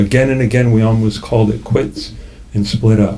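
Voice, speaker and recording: Noticeable background noise sits behind a man talking at medium pitch and a moderate pace. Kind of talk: memoir reading. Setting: live cafe reading.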